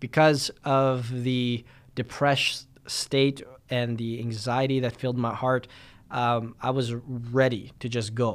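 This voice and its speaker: On a very clean recording with a silent background, a man with a medium pitch talks at a very slow pace in a monotone, flat intonation. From Winnipeg, Canada. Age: 20s. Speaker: pastor. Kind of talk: podcast monologue.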